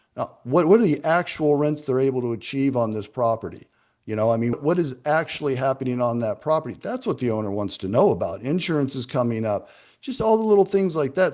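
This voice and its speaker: Over a quiet background, a man talks at a fairly quick pace. His pitch is fairly high, with very wide swings. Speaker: property management expert speaking to a real estate group. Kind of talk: presentation to professional group. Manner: fast.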